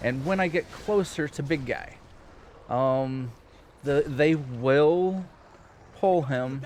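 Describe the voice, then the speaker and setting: A man with an ordinary speaking voice talks in a fairly high pitch with ordinary pitch variation. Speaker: video game streamer. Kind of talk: live gameplay commentary. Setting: live stream.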